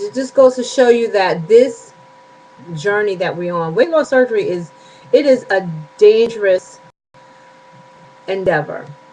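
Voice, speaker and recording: Over noticeable background noise, a woman with a fairly high pitch talks at a fairly slow pace with long, frequent pauses, lively intonation and big swings in loudness. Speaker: weight loss surgery vlogger. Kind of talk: casual vlog update. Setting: home bedroom.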